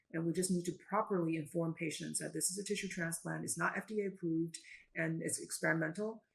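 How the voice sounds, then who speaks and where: Very fast and somewhat breathy, a woman speaks at a fairly low pitch with fairly even intonation. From China. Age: 50s. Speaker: physician. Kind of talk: interview.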